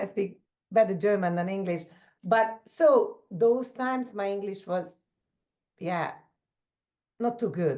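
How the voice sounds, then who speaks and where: A woman with a medium pitch and a dark, mellow tone speaks at a fairly slow pace. She uses ordinary pitch variation and takes long, frequent pauses. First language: not English. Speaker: leadership coach. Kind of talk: conversational interview. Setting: video call.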